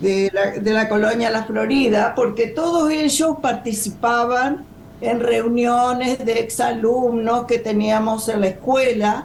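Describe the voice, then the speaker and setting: A woman speaks very slowly at a fairly high pitch, her loudness very even. Room echo is audible and background noise is noticeable. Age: 70s. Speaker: former political prisoner, retired rural teacher. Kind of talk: testimony. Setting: video call.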